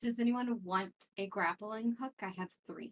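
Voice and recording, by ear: At a fairly slow pace, a woman speaks at a medium pitch with ordinary variation, the sound dry and close with no echo.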